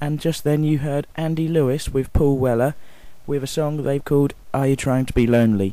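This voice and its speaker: A man talks at a moderate pace in a fairly high pitch. His tone is dark and mellow. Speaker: radio presenter. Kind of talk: radio show presenter link. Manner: humorous, chatty.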